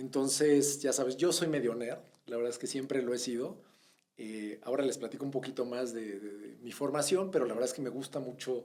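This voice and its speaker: Medium in pitch, a man's voice moves at a fairly quick pace. His pitch varies in an ordinary way. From Mexico (born in Bogotá, Colombia, moved as a child in the mid-80s). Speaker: retail executive. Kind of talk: interview.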